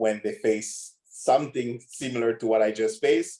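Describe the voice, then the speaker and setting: A man speaks with a strong non-native accent. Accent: huge foreign. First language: not English. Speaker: podcast guest. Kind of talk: casual chat.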